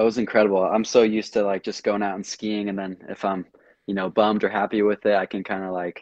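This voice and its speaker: Talking very fast in an American accent, a man keeps a fairly low pitch and monotone, flat intonation. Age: under 20 (just turned 18). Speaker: junior water skier and student pilot. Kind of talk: interview. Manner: casual, relaxed.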